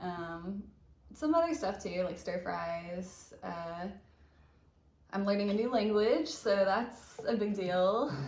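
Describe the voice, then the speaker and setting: This speaker talks at a very slow pace in a Southern US accent. Room echo is audible. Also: woman. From US South, Alabama. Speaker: ER nurse, channel co-host. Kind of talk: casual chat.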